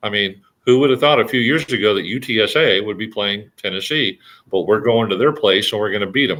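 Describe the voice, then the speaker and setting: Talking at a fairly quick pace, a man with a fairly low pitch and ordinary pitch variation has a plain, everyday voice. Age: 60s. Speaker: sports commentator. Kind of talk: casual sports talk. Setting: live stream. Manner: frequent fillers and restarts.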